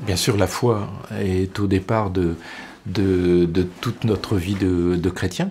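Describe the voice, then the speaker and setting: A man with a very deep, low pitch speaks at a very slow pace, his loudness very even and his intonation fairly even. Noticeable background noise runs beneath him. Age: 60s. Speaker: deacon, HR manager. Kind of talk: testimony interview. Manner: hesitant, repeats words.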